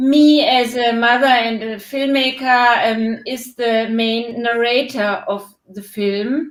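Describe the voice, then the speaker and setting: A woman speaks with a strong German accent. Her voice is high, with fairly even intonation. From Germany. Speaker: documentary filmmaker. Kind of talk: live Q&A interview. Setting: online live stream. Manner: hesitant, many fillers.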